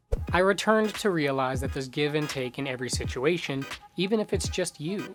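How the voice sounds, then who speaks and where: Over background music, a man with a fairly high pitch talks at a moderate pace with lively intonation. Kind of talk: personal vlog voice-over.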